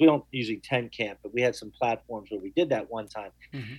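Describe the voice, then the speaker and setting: A man with an American accent speaks at a very fast pace. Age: 40s. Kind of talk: radio interview.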